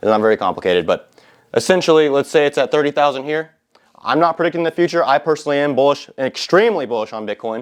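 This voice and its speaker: This man talks at a fairly quick pace in a fairly high pitch. His tone is animated, with ordinary pitch variation. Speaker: finance YouTuber. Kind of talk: whiteboard tutorial. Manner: fast; casual, animated.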